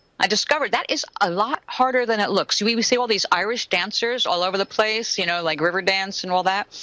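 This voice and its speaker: A woman talks at medium pitch at a very fast pace with hardly any pauses. Her tone is animated, with ordinary pitch variation. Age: 60s. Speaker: soap maker and interview guest. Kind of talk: casual interview chat.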